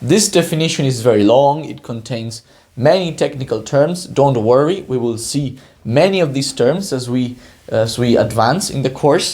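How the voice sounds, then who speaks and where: In a room with audible echo, a man with a non-native accent speaks at a moderate pace in a somewhat breathy, medium-pitched voice with lively intonation. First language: Spanish. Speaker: PhD student, educational YouTuber. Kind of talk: lecture. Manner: halting, many fillers.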